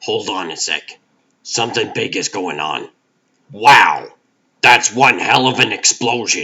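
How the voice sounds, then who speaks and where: Raspy and put-on, this man's character voice moves at a fairly slow pace with long, frequent pauses. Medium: fan dub. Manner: warm, wry.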